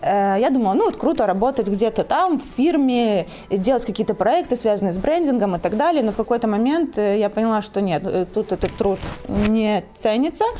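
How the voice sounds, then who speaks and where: Against noticeable background noise, a woman with a fairly high voice speaks at a moderate pace and a very even loudness. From Belarus. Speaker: clothing brand owner. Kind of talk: interview.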